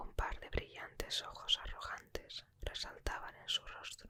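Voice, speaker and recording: Whispering at a fairly slow pace. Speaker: ASMR book reader. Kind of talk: audiobook reading. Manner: whispered.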